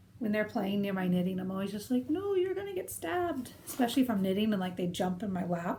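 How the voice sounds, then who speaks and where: A woman with a medium pitch and ordinary pitch variation talks at a very fast pace with hardly any pauses. Noticeable background noise and audible room echo are present. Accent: American. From United States. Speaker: knitting video podcaster. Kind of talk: casual chat. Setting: conservatory, rain on thin roof.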